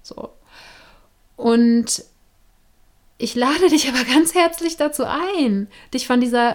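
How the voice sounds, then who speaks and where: Lively intonation at a very slow pace, on a very clean recording with a silent background. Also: woman. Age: 30s. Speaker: podcast host. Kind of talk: casual monologue. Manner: casual, with laughs and fillers.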